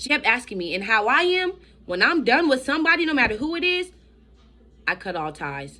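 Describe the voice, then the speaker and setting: Talking at a fairly quick pace, a woman uses a bright, sharp tone with vocal fry and very wide pitch swings. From Florida, Miami. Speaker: vlogger. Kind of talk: personal testimony vlog. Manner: fast; animated.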